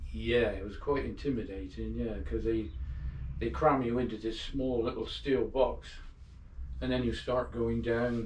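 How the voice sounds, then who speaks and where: A man talks at a fairly slow pace. The room echo is audible, and there is light background noise. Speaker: interviewee. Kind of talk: interview answer. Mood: relaxed, reflective. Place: home room. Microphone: camera far.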